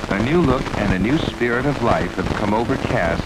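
A man's fairly low voice with lively intonation over noticeable background noise. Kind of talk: 1970s documentary narration, scripted. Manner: formal, measured, steady; authoritative, earnest, gently nostalgic.

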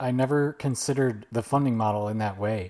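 Dark, mellow-toned man at a fairly quick pace with ordinary pitch variation. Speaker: podcast host. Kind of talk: interview, casual conversational.

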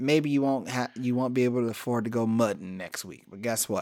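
Over a very clean recording with a silent background, a man with an American accent talks at a fairly quick pace in a plain, everyday voice of medium pitch. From US Midwest (Cleveland, Ohio). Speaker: podcast host. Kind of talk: casual chat.

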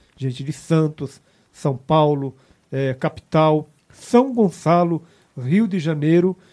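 A dark, mellow tone at a fairly slow pace. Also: man. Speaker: prayer group leader. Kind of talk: prayer; testimony. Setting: online radio broadcast.

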